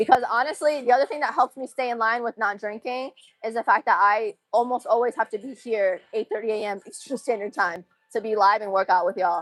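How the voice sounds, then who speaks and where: Dry and close with no echo, a woman with an American accent and a plain, everyday voice talks at a fairly quick pace in a fairly high pitch with ordinary pitch variation. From Massachusetts. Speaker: livestreamer. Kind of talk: casual chat.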